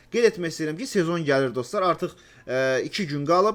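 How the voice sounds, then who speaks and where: On a very clean recording with a silent background, a man talks at a high pitch with lively intonation. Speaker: gaming YouTuber. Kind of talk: casual chat. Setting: voice chat.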